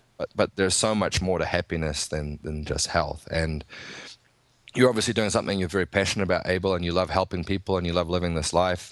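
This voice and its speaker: Very deep and low in pitch, a man with a New Zealand accent races along at a very fast pace with ordinary pitch variation. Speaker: nutritionist and strength coach. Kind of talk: casual interview chat.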